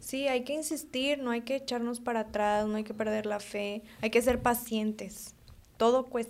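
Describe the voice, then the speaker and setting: A woman speaks slowly-ish in a fairly high voice with fairly even intonation, at a fairly slow pace. It is an unremarkable speaking voice. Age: 20s. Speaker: veterinarian and young rancher. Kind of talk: casual chat.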